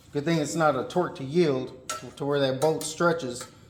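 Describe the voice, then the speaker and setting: With an American accent and fairly even intonation, a man speaks against noticeable background noise. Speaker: car mechanic YouTuber. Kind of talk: tutorial. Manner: monotone; casual.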